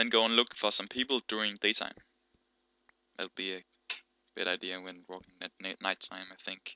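Bright and sharp in tone, a man with a Danish accent speaks at a fairly quick pace. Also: dry, close sound with no echo. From Denmark. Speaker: gaming YouTuber. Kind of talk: gameplay commentary. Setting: home gaming setup, headset. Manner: animated; halting.

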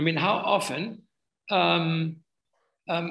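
A man's vocal fry over a quiet background. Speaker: webinar presenter. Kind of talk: webinar presentation answering a question. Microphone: video call.

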